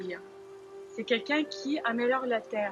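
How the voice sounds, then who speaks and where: Over music in the background, a woman with a Lithuanian accent talks at a fairly slow pace in a fairly high pitch. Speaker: dancer and gardener. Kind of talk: interview answer.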